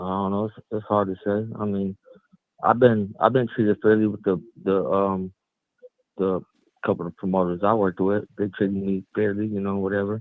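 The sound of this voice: In a dry, close sound with no echo, a man speaks with little pitch movement. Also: fairly low pitch for a man, moderate pace.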